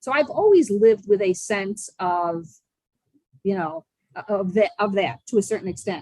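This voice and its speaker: A woman's somewhat breathy, medium-pitched voice moves through very wide pitch swings. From Buffalo, New York. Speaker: social skills coach. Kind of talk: podcast interview answer. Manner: enthusiastic.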